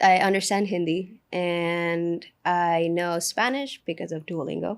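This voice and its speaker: The recording is very clean against a silent background. A woman with a fairly low pitch talks at a fairly slow pace, her intonation fairly even. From India, then New Jersey and Miami. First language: Telugu. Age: 20s. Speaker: AI automation agency founder. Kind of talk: casual interview.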